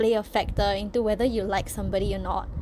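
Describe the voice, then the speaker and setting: A woman moves at a fairly quick pace while noticeable background noise runs behind her. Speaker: content creator. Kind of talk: casual rant to camera. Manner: fast; animated.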